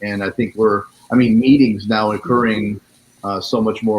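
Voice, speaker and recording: A man speaks at a moderate pace in an American accent, his pitch medium and his intonation flat and monotone. Noticeable background noise runs under the recording. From Florida. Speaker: talk show host. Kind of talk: live interview.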